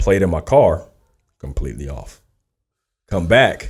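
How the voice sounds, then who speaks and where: On a very clean recording with a silent background, a man speaks in a very deep, low, somewhat breathy voice. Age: 30s. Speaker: R&B singer. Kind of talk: casual interview chat.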